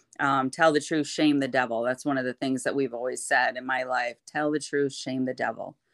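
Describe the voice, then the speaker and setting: The speaker has an Upper Midwest accent, captured on a very clean recording with a silent background. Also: woman. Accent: Upper Midwest American. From Michigan (Kentwood). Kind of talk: testimony in casual interview.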